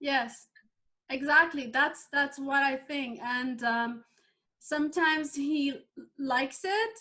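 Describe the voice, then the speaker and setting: A woman with a Persian accent projects a high, bright, sharp voice at a very slow pace, with long, frequent pauses. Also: ordinary pitch variation. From Iran. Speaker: life coach and former chemical engineer. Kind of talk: interview. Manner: halting.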